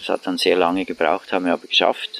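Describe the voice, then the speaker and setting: The man's voice comes through in a dry, close sound with no echo. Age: old. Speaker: cooperative member and activist. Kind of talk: interview. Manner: hesitant with many fillers.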